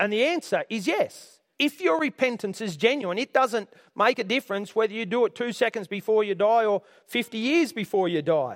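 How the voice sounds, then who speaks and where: The recording is dry and close with no echo. A man with an Australian accent speaks in a high voice. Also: lively intonation, moderate pace. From Australia, Orange area, New South Wales. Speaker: pastor. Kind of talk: sermon.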